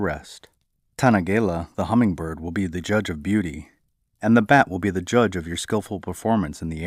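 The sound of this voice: Against a quiet background, an unforced reading voice carries ordinary pitch variation.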